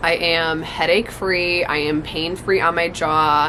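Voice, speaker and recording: A woman's fairly low voice with fairly even intonation, plus noticeable background noise. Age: 20s. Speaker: lifestyle vlogger. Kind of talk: personal experience vlog. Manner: casual, filler-heavy.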